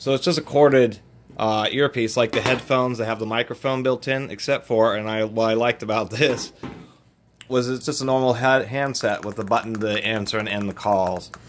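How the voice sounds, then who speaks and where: The speech moves at a fairly quick pace with fairly even intonation. Light background noise sits underneath. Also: man. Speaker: product reviewer. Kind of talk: casual product review. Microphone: phone near.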